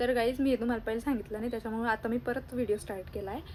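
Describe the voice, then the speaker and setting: A woman's high-pitched voice. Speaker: vlogger. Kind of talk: casual vlog chat. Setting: outdoors and in a rickshaw.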